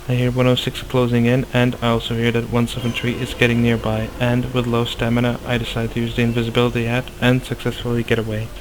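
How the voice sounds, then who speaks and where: A man talks at a very fast pace with hardly any pauses. His intonation stays flat and monotone over noticeable background noise. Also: medium pitch for a man. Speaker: gaming youtuber. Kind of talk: tutorial.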